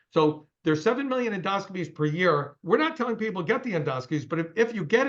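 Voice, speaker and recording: This man talks at a very fast pace. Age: 60s. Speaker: company CEO. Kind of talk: interview.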